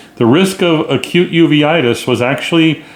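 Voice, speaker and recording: A man's voice shows ordinary pitch variation against noticeable background noise. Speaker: rheumatologist podcast host. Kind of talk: solo podcast news review. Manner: loud.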